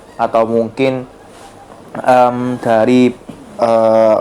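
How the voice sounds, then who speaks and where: A man speaks over noticeable background noise. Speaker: gaming youtuber. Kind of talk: gameplay commentary tutorial. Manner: casual, many filler words.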